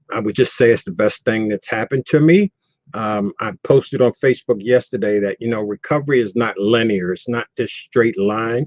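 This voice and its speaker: A man with a normal speaking voice talks at a moderate pace with ordinary pitch variation, recorded in a dry, close sound with no echo. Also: medium pitch for a man. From US East Coast (Baltimore). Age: 60s. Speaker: person in long-term recovery. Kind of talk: testimony.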